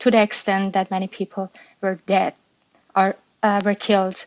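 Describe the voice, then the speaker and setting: Speaking in a Persian accent, a woman holds a medium pitch in a monotone, flat intonation. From Iran. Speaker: activist speaker. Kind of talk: live audio room discussion. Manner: halting, many fillers.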